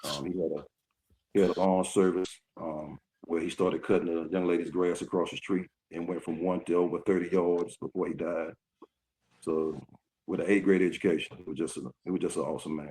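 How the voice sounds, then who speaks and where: Dark and mellow in tone, this voice speaks with a Southern US accent at a fairly quick pace, with long, frequent pauses and a flat, monotone delivery. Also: man, very deep, low pitch for a man. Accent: US South. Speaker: retired basketball player. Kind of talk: interview. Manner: halting.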